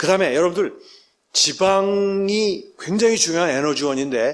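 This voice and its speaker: The speaker sounds animated, with lively intonation. The pace is moderate. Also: man. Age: 60s. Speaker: medical professor. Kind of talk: lecture. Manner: animated, addresses audience often.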